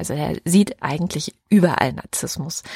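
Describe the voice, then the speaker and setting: A woman with a medium pitch and a normal speaking voice talks at a moderate pace, the sound dry and close with no echo. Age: 30s. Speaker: podcast co-host. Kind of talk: casual chat.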